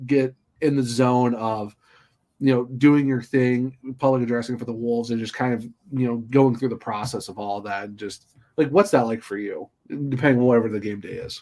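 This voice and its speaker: A plain, everyday voice from a man, fairly quick in pace, medium in pitch, with ordinary pitch variation. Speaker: podcast host. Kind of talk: podcast host interviewing a guest.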